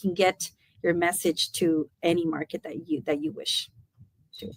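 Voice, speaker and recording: A woman's plain, everyday voice with lively intonation at a moderate pace, in a dry, close sound with no echo. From United States, Mexican immigrant family. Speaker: language school owner. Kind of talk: interview.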